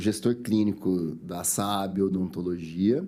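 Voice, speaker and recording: A man's dark, mellow voice at a fairly low pitch and a fairly slow pace. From interior of São Paulo state, Brazil. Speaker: dentist. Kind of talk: sales pitch; interview.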